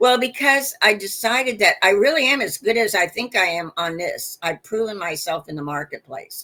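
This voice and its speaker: With a fairly high pitch, an animated tone and very wide pitch swings, a woman speaks with hardly any pauses. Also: moderate pace. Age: 70s. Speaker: inventor and marketer. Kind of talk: interview.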